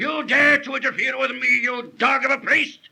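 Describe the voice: This put-on character voice has a bright, sharp tone with a slightly husky edge and vocal fry, delivered at a moderate pace with fairly even intonation. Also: man, extremely high pitch for a man.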